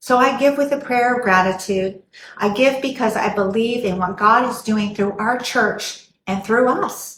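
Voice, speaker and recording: Speaking fairly slowly with an American accent, a woman uses a fairly high pitch and ordinary pitch variation. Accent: slight Texan accent, occasional. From Texas, San Angelo. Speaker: church member. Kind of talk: testimony.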